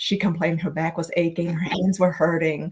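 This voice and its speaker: A woman speaks with a Vietnamese accent at medium pitch. Her voice is somewhat breathy. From Vietnam, moved to Minnesota at twelve. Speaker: author and speaker. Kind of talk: podcast interview, personal story. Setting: live video stream.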